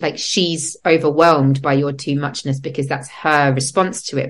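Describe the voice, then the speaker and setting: A woman with an English accent speaks at a fairly slow pace. Her pitch is very deep and low. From England. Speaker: podcast host and breathwork facilitator. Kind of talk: casual interview chat. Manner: animated.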